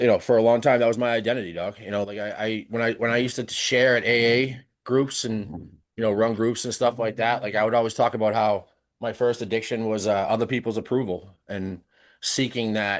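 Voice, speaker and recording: Over a quiet background, a man speaks with an American accent at a fairly quick pace. His medium-pitched delivery stays monotone and flat. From South Shore, Massachusetts. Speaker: podcast guest, social media creator. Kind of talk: casual chat. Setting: live-streamed podcast recording.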